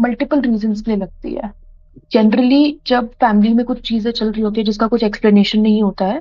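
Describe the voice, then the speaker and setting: Her intonation fairly even and her pitch fairly high, a woman talks at a moderate pace. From Delhi, India. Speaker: storyteller guest. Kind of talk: casual chat. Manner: halting.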